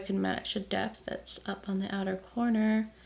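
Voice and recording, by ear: A woman's creaky, croaky voice with vocal fry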